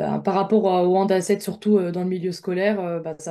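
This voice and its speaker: On a very clean recording with a silent background, a woman speaks at a medium pitch and a fairly quick pace. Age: 20s. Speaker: professional handball player. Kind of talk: recorded interview. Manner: hesitant, many fillers.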